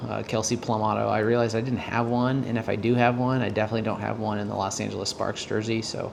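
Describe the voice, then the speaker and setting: A quiet voice delivers words at a very fast pace in a flat monotone. Noticeable background noise and audible room echo fill the recording. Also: man. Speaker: sports card dealer and collector. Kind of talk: casual vlog, mail unboxing. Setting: at home late at night. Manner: quiet, keeping voice down; hesitant, many fillers.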